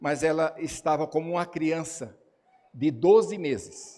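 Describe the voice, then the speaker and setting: A man with a Paulista accent, high in pitch, at a very slow pace. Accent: Paulista Brazilian Portuguese. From São Paulo, Brazil. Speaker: pastor. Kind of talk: sermon. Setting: church.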